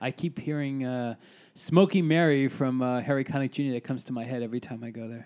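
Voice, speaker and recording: A man with a New York accent talks at a very fast pace and fairly even intonation, on a very clean recording with a silent background. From Staten Island, New York. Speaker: singer-songwriter. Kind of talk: casual chat.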